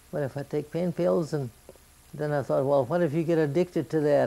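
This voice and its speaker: A woman talks at a fairly quick pace. Her pitch is very deep and low, with a dark, mellow tone. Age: 80s+. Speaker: grandmother. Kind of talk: interview answer. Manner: conversational, plain-spoken. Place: home room.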